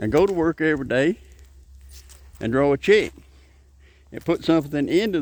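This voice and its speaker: A man with a Southern US accent at a moderate pace. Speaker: political commentator vlogger. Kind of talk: casual monologue.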